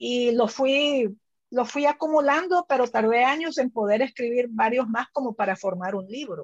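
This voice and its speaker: In a dry, close recording with no echo, a woman speaks at a high pitch with lively intonation. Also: moderate pace. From El Salvador. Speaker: writer. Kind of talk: book club conversation.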